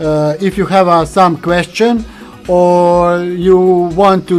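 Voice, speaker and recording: Music plays in the background as the speaker goes at a very slow pace. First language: not English. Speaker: video studio hobbyist / youtuber. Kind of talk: tutorial. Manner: halting, many fillers.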